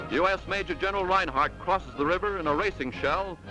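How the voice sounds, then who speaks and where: Music plays in the background as a man speaks quickly in a high pitch with ordinary pitch variation. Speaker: newsreel commentator. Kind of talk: newsreel narration. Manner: dramatic, emphatic.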